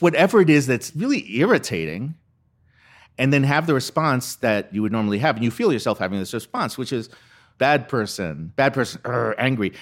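A man at a medium pitch with vocal fry, fairly quick pace, very clean recording and silent background. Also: lively intonation. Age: 60. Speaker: comedic monologist and filmmaker. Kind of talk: interview. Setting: conference.

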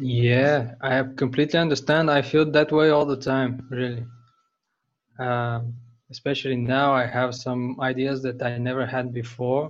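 A man speaks with a Bulgarian accent at a medium pitch. His intonation is flat and monotone. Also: fairly slow pace. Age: 20s. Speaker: bookbinder. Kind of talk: interview.

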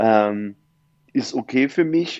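A man speaks with a dark, mellow tone. There is no echo, and the sound is dry and close. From eastern Germany, Saxony-Anhalt (Dessau). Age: 20s. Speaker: event and festival photographer. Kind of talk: casual interview chat.

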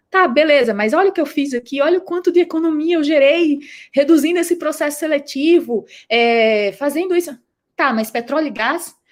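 A woman speaks with a northeastern Brazilian accent. Her pitch is high, with ordinary variation. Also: moderate pace. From Brazil, Rio Grande do Norte (Northeast). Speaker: startup founder and CEO. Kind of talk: interview. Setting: live stream.

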